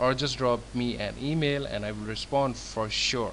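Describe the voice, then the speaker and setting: A man talks at a moderate pace, and his voice carries audible room echo. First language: not English. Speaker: template designer. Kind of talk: tutorial. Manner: halting.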